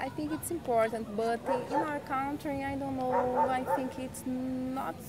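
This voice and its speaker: A woman speaks at a fairly slow pace with a high pitch and fairly even intonation. The room echoes audibly, and background noise is noticeable. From Brazil. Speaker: street interviewee. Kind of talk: street interview.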